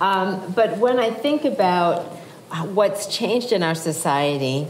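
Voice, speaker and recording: A woman with an American accent speaks at a medium pitch with lively intonation. There is audible room echo and noticeable background noise. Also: fairly slow pace. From Massachusetts. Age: 60s. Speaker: author and psychologist. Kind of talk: public talk. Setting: stage with audience.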